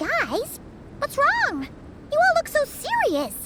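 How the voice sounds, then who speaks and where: In a put-on character voice, squeaky and extremely high, the speaker talks very slowly with very wide pitch swings over loud background noise. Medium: video game. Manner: excitable, chatty.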